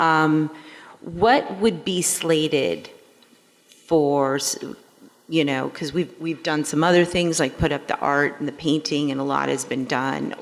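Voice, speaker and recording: Noticeable noise sits behind a woman's voice. She speaks fairly slowly at a very deep, low pitch with ordinary pitch variation. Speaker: board member. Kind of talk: board meeting question. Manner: loud.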